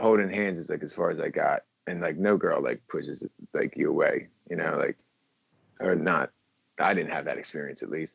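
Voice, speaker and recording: Close, dry sound without echo, and a man talking at a moderate speed. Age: 30s. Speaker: guest, father discussing dating. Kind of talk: casual chat.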